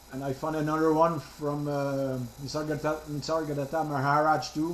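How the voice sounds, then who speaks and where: Monotone, flat intonation marks this man's fairly quick speech in a fairly high pitch, with audible room echo. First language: French. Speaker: participant in spiritual group. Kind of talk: casual chat.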